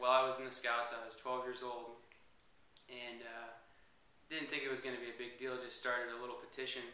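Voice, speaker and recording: A man with an American accent, medium in pitch, monotone and flat, amid audible room echo and noticeable background noise. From Northern California (Petaluma). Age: 20s. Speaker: reality show applicant. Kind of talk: interview. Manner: hesitant, many fillers.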